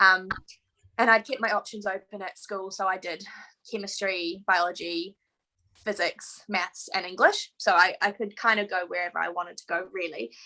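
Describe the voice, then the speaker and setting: Bright and sharp in tone, the voice carries a New Zealand accent, fairly even intonation, big swings in loudness and a moderate pace. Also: woman, medium pitch for a woman. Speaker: veterinarian. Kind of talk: interview.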